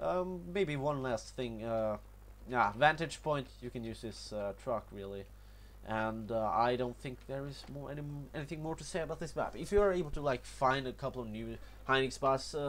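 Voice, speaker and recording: A man speaks at a moderate pace with a Norwegian accent, his loudness swinging widely. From Norway. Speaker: gaming youtuber. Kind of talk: gameplay tutorial commentary. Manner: halting, many fillers and repetitions.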